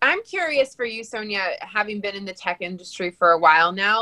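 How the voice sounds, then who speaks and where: A woman is talking. Her voice has a bright, sharp tone. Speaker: podcast co-host. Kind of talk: casual chat. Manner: excitable.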